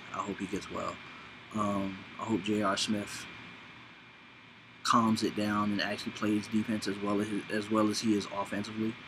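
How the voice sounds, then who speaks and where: A man talks at a moderate pace with a fairly low pitch. His intonation is monotone and flat, broken by long, frequent pauses. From Los Angeles. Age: 30s. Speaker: vlogger. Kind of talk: casual monologue. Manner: rambling, casual.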